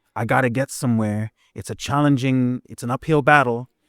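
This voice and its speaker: Recorded very cleanly against a silent background, the man's voice sounds dry and close with no echo, and his intonation stays fairly even. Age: 50s. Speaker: poet and performance artist. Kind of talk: interview. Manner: halting, many self-repairs.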